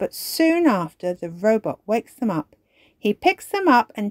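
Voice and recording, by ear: Someone reads aloud in a natural voice with a quiet background behind.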